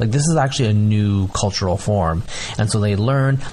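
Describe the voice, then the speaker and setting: A man talks at a fairly quick pace in a fairly low voice. He has an ordinary speaking voice. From United States, born in Bangladesh. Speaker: geneticist and writer. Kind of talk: casual chat.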